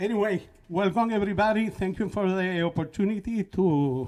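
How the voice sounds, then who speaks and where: A man's dark, mellow voice in a Spanish accent at a moderate pace. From Puerto Rico. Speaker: band leader and musician. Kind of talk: talk between songs at a concert. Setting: live-streamed concert at a college. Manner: halting, many fillers.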